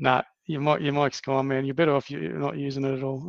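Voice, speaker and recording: In an Australian accent, a man talks at a very fast pace with fairly even intonation and a fairly high pitch, the sound dry and close with no echo. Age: 50s. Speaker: podcast host. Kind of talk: casual chat.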